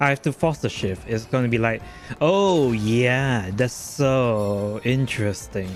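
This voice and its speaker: A man speaks with lively intonation at a medium pitch. His loudness stays very even against noticeable background noise. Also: fairly slow pace. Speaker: vtuber game streamer. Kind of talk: live gameplay stream chat. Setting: live stream.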